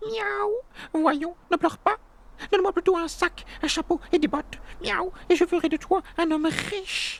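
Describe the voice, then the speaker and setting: This is a put-on character voice with extremely high pitch. It moves at a moderate pace. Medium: read story. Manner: punctuates speech with meows.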